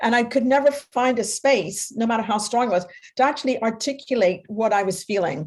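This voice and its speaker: This woman has a plain, everyday voice with a fairly high pitch. She speaks at a moderate pace with ordinary pitch variation. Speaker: psychotherapist and workshop facilitator. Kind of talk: panel discussion.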